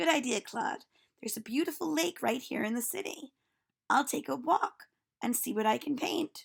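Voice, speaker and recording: A raspy, high-pitched woman's put-on character voice at a moderate pace. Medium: read story.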